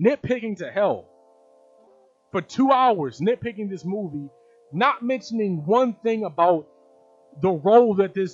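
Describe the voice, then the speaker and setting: A man talks at a moderate pace with music in the background. His tone is animated and his intonation lively. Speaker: video commentator. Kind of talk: live video commentary.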